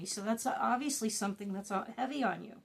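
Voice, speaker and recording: A woman with an unremarkable speaking voice talks at a fairly quick pace, her pitch varying in an ordinary way. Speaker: wellness and trauma-healing content creator. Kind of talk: casual talk to camera, guided meditation talk.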